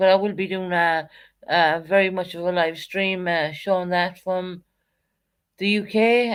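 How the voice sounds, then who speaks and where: With an Irish accent, a woman speaks at a medium pitch and a fairly slow pace on a very clean recording with a silent background. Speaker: live streamer. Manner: casual, chatty, many fillers.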